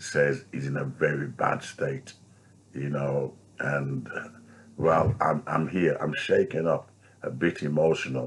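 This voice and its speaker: A man speaks with a British accent. He talks at a very slow pace. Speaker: street preacher. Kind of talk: vlog commentary. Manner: halting.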